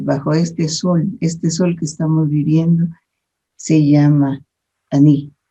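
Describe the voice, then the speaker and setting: A woman's very deep, low voice with a dark, mellow tone, very slow pace and fairly even intonation. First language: Mam (speaking Spanish). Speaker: researcher and spiritual guide. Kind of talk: interview conversation.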